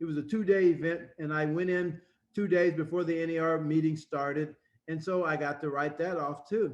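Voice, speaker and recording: A man's fairly high-pitched, normal speaking voice at a fairly quick pace. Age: 60s. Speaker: real estate instructor. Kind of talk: lecture. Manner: conversational, with fillers.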